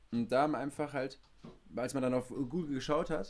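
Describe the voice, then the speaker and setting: A man talks at a moderate pace in a medium pitch, an ordinary speaking voice. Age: 20s. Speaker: podcast host. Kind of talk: casual chat. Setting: remote recording from home studio.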